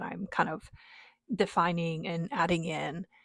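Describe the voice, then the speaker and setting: A woman with a non-native accent speaks at a fairly slow pace. The recording is very clean and dry, with a silent background and no echo. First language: not English. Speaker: book vlogger. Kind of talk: casual chat. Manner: hesitant, many fillers.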